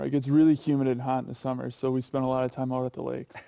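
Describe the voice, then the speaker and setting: A man with an American accent speaks at a very fast pace in a monotone, flat intonation. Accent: regional American with deep, rounded O vowels. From Minnesota.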